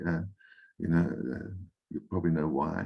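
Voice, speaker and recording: A man speaks with noticeable vocal fry. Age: 60s. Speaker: enneagram coach, guest speaker. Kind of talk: workshop Q&A answer. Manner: halting, with fillers and repeats.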